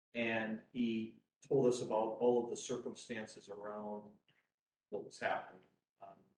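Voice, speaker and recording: A man with a medium pitch speaks at a moderate pace in a flat, monotone way, his loudness swinging widely, with long, frequent pauses and audible room echo. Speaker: appeals court judge. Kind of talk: courtroom oral argument, presiding. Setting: courtroom, live streamed. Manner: loud, by own remark.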